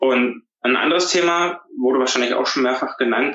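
A man speaks in a plain, everyday voice, pitched at a medium level. His delivery is fairly quick, and his intonation stays fairly even. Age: 30s. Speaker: business photographer. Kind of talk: casual interview.

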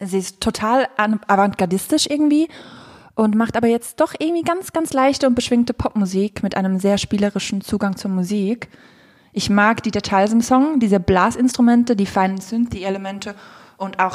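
A woman talks at a moderate pace with a medium pitch and an ordinary speaking voice. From Switzerland. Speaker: music podcast co-host. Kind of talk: casual chat. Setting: living room in her flat. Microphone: poor sound, echoey room.

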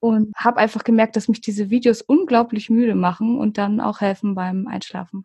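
A woman with a fairly high pitch and a dark, mellow tone speaks somewhat breathily at a moderate pace with fairly even intonation and hardly any pauses, the sound dry and close with no echo. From Hamburg, northern Germany. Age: 30s. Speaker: ASMR YouTuber. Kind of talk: casual interview.

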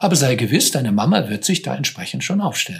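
Somewhat breathy and medium in pitch, a man talks at a fairly quick pace with very wide pitch swings. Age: 60s. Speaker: psychotherapist in cancer care. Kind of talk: interview conversation.

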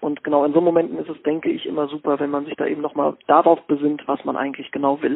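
Rattling along at a very fast pace with hardly any pauses, a man speaks at a fairly high pitch in a monotone, flat intonation. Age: 20s. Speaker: sports scientist and ice hockey player. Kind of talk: interview.

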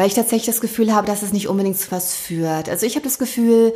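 Over noticeable background noise, a woman speaks with a fairly high pitch and ordinary pitch variation. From Thuringia, eastern Germany (early childhood). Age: 30s. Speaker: bestselling author and podcaster. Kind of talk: casual interview conversation. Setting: in-person conversation at her place.

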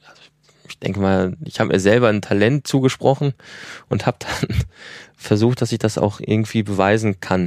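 The recording is dry and close with no echo as a man speaks at a moderate pace. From Germany, Ruhr area. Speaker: film director and producer. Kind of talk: interview.

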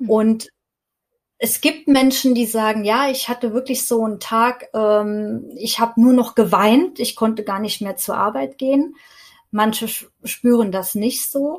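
A woman's plain, everyday voice, fairly high in pitch, at a fairly slow pace with ordinary pitch variation. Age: 40s. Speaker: stress and burnout coach. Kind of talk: podcast interview.

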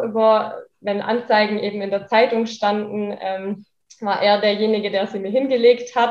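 A woman with a normal speaking voice talks at a fairly high pitch and a fairly slow pace. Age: 20s. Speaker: daycare center manager, social worker. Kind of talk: interview.

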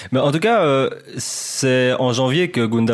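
The man's voice has ordinary pitch variation. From Belgium. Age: 20s. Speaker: football journalist. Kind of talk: casual podcast chat.

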